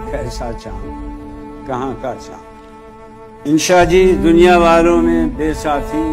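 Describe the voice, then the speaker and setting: A man speaks with music in the background. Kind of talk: poetry reading. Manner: soothing.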